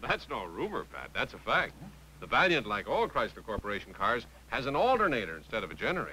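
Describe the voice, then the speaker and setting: A man speaks at a very fast pace, and light background noise is audible. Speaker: announcer and actor. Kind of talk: TV commercial read.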